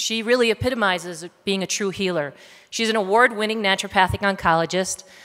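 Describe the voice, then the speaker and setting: Talking at a very fast pace, a woman keeps a medium pitch with ordinary pitch variation. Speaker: health writer and speaker. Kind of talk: talk to an audience.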